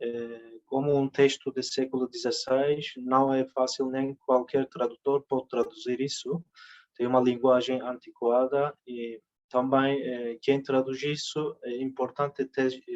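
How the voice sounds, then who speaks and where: With a Turkish accent, a man talks in a monotone, flat way, and the sound is dry and close with no echo. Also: medium pitch for a man, fairly slow pace. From Turkey. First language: Turkish (speaking Portuguese). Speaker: literary translator. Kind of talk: conference talk. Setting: conference. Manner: halting, many fillers.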